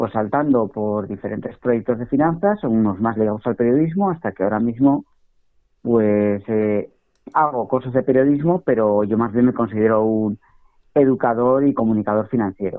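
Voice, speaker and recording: A man speaks at a moderate pace with medium pitch and ordinary pitch variation, in a plain, everyday voice. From Spain, Basque Country (San Sebastián). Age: 40s. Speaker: financial educator and journalist. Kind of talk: podcast interview.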